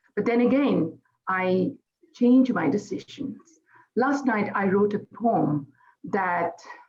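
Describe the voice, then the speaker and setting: A woman speaks very slowly with a Bengali accent, her medium-pitched voice somewhat breathy. Her intonation is lively. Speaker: poet. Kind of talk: event speech. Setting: celebration event.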